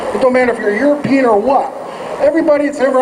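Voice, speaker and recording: A man talks very fast at an extremely high pitch. Noticeable background noise and audible room echo are present. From Oregon, US Pacific Northwest. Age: 40s. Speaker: activist's son speaking at rally. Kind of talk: rally speech. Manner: halting.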